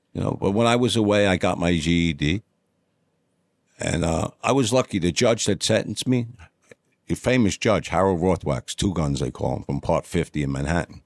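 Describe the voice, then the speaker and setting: At a moderate pace, a man with a very deep, low pitch speaks with lively intonation. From New York City, Upper East Side (Yorkville). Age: 60s. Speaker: former prisoner telling life story. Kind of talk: interview testimony.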